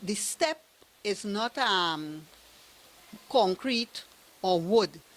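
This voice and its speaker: This woman speaks with a Trinidadian accent at a medium pitch. Her intonation is lively. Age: 70s. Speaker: evicted tenant. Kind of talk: testimony. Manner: halting.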